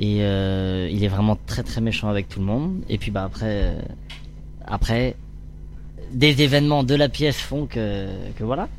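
Pausing long and often, a man speaks at a fairly slow pace in a fairly low pitch with ordinary pitch variation. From France, Orléans region. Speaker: stage actor. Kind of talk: interview. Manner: halting.

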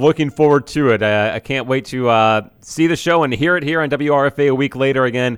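A man's medium-pitched, unremarkable speaking voice with ordinary pitch variation and hardly any pauses, on a very clean recording with a silent background. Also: moderate pace. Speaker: radio host. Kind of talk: radio interview. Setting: studio.

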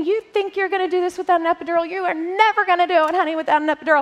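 A woman's whiny, put-on character voice, extremely high in pitch and very fast. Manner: whining, scolding, talking down.

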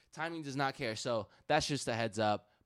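A man with an unremarkable speaking voice uses lively intonation at a moderate pace in a very clean recording with a silent background. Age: 20s. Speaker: sneaker customizer. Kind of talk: casual chat.

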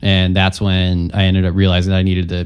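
A very deep, low male voice at a fairly quick pace, in a very clean recording with a silent background. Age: 20s. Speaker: guitarist and composer. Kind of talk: interview. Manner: casual.

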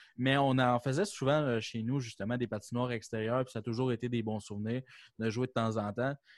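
With a plain, everyday voice, a man speaks at a fairly quick clip and a medium pitch, his intonation fairly even, on a very clean recording with a silent background and a dry, close sound with no echo. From Quebec City, Quebec. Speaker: podcast co-host. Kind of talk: casual chat.

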